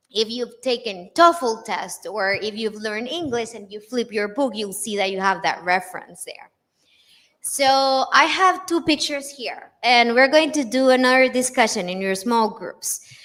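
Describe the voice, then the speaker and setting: Her Spanish accent comes through as a woman speaks at a moderate pace. Her pitch is fairly high and her intonation lively. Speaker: English teaching lecturer. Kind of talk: lecture. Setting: conference with live audience.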